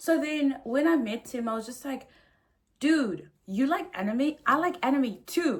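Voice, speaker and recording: A woman speaks loudly at a high pitch, her tone animated and her intonation lively. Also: fairly slow pace. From South Africa. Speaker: vlogger. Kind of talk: casual storytime rant. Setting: hotel room.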